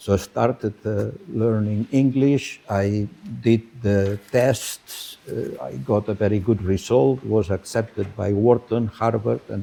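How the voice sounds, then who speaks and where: A man with a Spanish accent, fairly low pitch, ordinary pitch variation and a very slow pace. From Spain. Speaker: business professor. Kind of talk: conference talk. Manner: halting.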